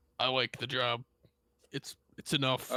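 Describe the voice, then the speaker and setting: A man performs a put-on character voice at a medium pitch. He moves at a moderate pace. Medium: actual play. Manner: terse, broken caveman speech, deadpan.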